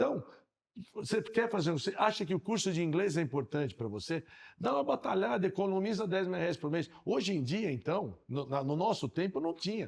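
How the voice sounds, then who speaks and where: A man talks at a moderate pace with lively intonation. His pitch is high. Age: 60s. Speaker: podcast co-host. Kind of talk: casual podcast conversation.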